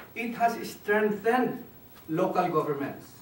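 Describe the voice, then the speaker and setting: A man with a Filipino accent speaks at a fairly slow pace in a high pitch, his intonation lively, with audible room echo and noticeable background noise. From Philippines, Baguio. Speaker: speaker on Philippine development. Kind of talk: talk. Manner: halting.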